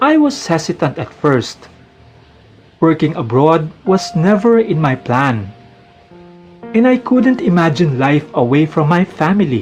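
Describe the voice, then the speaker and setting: With a Filipino accent, a man speaks at a fairly slow pace in a high pitch, swinging very widely in pitch, while music plays in the background. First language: Tagalog. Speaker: accountant. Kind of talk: personal memoir narration.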